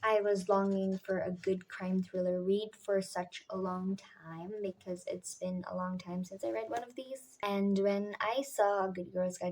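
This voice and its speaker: A woman speaks quietly at a fairly slow pace. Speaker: book vlogger. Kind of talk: casual vlog narration. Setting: at home at night. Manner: quiet, subdued at night.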